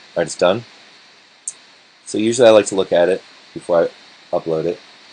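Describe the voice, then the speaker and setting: A man speaks over noticeable background noise. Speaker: instructor teaching After Effects. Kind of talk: screen-recorded software tutorial. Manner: casual, conversational; fast.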